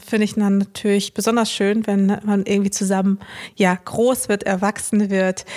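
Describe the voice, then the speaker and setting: Her intonation monotone and flat, a woman speaks at a medium pitch and moderate pace. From Ruhr area, Germany (Dortmund). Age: 30s. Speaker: influencer. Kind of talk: casual chat.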